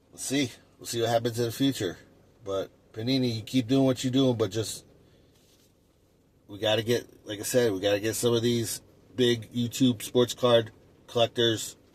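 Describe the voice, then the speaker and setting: A man with a medium pitch talks at a moderate pace in a flat monotone, somewhat breathy, with long, frequent pauses and big swings in loudness. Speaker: sports card collector YouTuber. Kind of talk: casual monologue. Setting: in a car. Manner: halting, many fillers.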